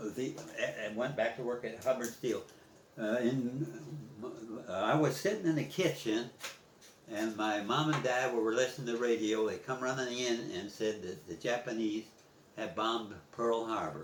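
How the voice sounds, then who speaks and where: There is audible room echo and noticeable background noise as a man at a medium pitch speaks with ordinary pitch variation and long, frequent pauses. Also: moderate pace. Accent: American. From US Midwest, East Chicago, Indiana. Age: 80s+. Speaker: war veteran. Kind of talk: oral history interview. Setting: at home. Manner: halting.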